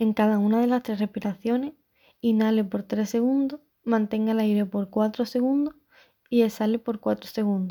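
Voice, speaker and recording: A woman with a normal speaking voice talks at a moderate pace with fairly even intonation and a fairly high pitch, on a very clean recording with a silent background. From Andalusia, Spain (Chiclana, Cádiz). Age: 20s. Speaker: podcaster. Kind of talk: scripted monologue.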